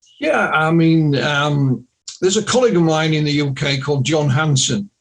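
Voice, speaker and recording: A man speaks with a Yorkshire accent. His pitch sits fairly high. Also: ordinary pitch variation, moderate pace. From Yorkshire, northern England. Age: 60s. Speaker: UFO researcher and author. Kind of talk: podcast interview.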